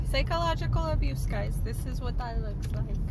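A woman is heard with a dry sound and no echo. Loud background noise runs behind her. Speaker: vlogger. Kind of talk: casual vlog chat. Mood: playful, mock annoyed. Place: car. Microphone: phone near.

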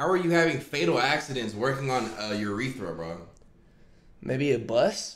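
Here a man speaks at a moderate pace with medium pitch. His pitch swings very widely. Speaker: streamer hosting reaction stream. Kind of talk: casual live-stream reaction chat. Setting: live stream at home with friends. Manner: animated, loud exclamations.

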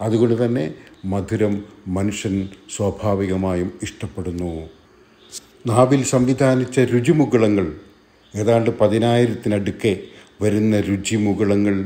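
A man's dark, mellow tone, fairly low in pitch, with ordinary pitch variation. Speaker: Islamic speaker. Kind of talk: Islamic religious speech.

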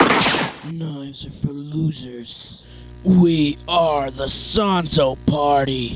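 A put-on character voice at a low-to-middle pitch and very slow pace, with clear background noise and sound effects in the background. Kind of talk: comic overacting. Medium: fan dub. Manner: gruff, irritable, shouting.

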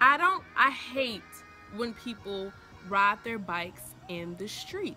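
A woman, with faint music in the background. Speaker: vlogger. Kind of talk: casual vlog chat. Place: garden. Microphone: phone near.

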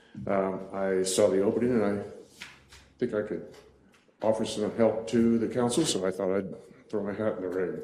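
At a moderate pace with long, frequent pauses, a man speaks with a fairly low pitch and fairly even intonation amid audible room echo and noticeable background noise. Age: 70s. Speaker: council seat applicant, retiree. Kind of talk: interview. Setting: town council meeting.

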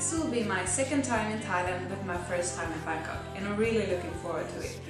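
Over clear background music, a woman talks in a room with audible echo. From Stockholm, Sweden. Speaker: beauty pageant contestant. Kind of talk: pageant self-introduction to camera. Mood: warm, smiling. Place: home room. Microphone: camera far.

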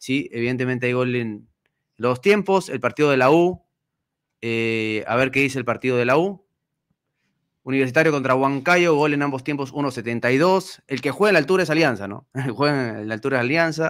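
Over a quiet background, a man speaks at a moderate pace and medium pitch with ordinary variation. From Peru. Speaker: sports podcast host. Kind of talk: casual chat; talk show commentary. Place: studio. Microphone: studio mic.

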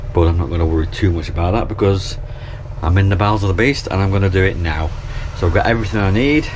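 Speaking at a very fast pace with very even loudness, a man with a fairly low pitch comes through over noticeable background noise. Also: ordinary pitch variation. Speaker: canal boat vlogger. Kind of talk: casual vlog chat. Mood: cheerful, self-deprecating. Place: boat. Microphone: phone near.

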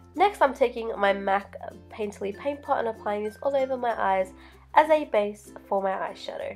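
Over music in the background, a woman speaks with a fairly high pitch and lively intonation. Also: moderate pace. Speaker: makeup artist. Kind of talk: makeup tutorial voiceover.

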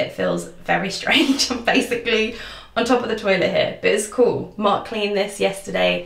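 Audible room echo colors this recording. The woman talks at a fairly quick pace. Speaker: lifestyle vlogger. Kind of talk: casual room tour chat. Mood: cheerful, upbeat. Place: bathroom. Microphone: phone near.

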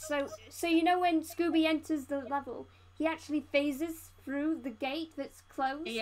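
The speaker has a British accent. The intonation stays fairly even. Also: woman, high pitch for a woman, moderate pace.

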